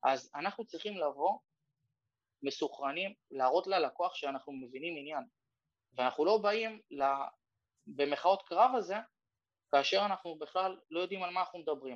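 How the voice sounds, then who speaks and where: Speaking at a moderate pace with long, frequent pauses, a man uses a high pitch and lively intonation. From Ramla, Israel. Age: 30s. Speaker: real estate broker. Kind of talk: workshop talk over Zoom. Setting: Zoom workshop.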